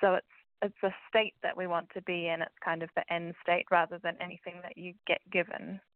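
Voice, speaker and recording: Fairly quick and monotone, a woman speaks in a fairly low, flat voice with big swings in loudness. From New Zealand. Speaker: financial wellbeing specialist. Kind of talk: casual interview chat.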